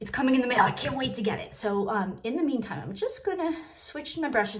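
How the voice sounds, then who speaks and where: Very wide pitch swings and a somewhat breathy voice at a fairly quick pace, with audible room echo. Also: woman. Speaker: makeup seller and vlogger. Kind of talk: makeup tutorial. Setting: sitting in her bathroom. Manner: soft-spoken; casual, filler-heavy.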